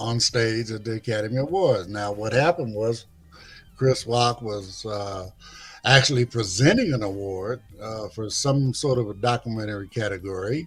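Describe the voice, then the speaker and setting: A man speaks at a moderate pace with a medium pitch. His voice is somewhat breathy, with ordinary pitch variation. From Los Angeles, South Central. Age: 60s. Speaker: free speech commentator. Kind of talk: casual discussion. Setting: live stream.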